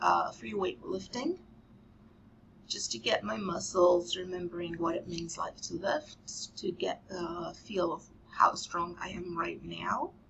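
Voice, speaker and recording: Noticeable background noise accompanies a woman who talks at a very slow pace. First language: not English. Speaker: vlogger. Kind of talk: casual vlog monologue. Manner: halting, with filler words.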